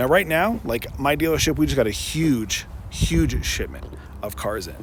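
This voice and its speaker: Amid audible room echo and noticeable background noise, a man talks at a moderate pace. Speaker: car salesperson and video host. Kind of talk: casual explainer video. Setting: outdoors on a dealership lot. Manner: halting, many fillers.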